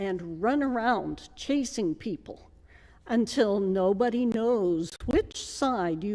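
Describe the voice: Lively intonation colors this plain reading aloud.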